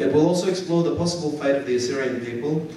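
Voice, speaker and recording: A man at a very fast pace with ordinary pitch variation, plus audible room echo and noticeable background noise. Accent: Australian. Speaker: lecturer, historian. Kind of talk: lecture. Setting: university lecture hall with audience. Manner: formal.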